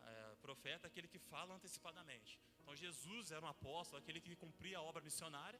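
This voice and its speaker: Very fast and with hardly any pauses, a man speaks at a fairly high pitch in a bright, sharp tone. Vocal fry shows up, and his pitch varies in an ordinary way. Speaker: pastor. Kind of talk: sermon.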